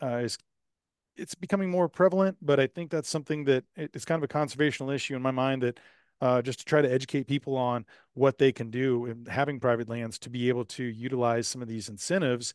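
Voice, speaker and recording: Speech at a very fast pace with ordinary pitch variation comes through dry and close with no echo over a quiet background. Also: man. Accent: Texan. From Texas, Houston area. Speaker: rancher and podcast host. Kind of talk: interview. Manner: casual with many fillers.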